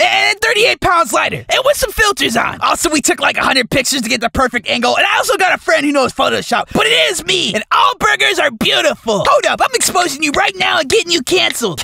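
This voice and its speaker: A man puts on a character voice at an extremely high pitch, racing at a very fast pace with very wide pitch swings. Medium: comedy sketch. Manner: indignant, defensive, sassy.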